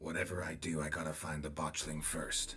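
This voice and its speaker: A raspy, very deep put-on character voice from a man at a fairly quick pace, with clear music in the background. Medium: video game. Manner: terse, dry.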